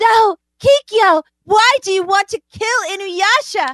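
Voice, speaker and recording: Using a put-on character voice, a woman talks fairly slowly at an extremely high pitch. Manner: anime dub style.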